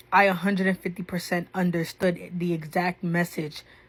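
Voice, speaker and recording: Somewhat breathy and fairly low-pitched, a woman's voice comes through in a very clean recording with a silent background. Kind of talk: casual reaction video commentary. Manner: animated.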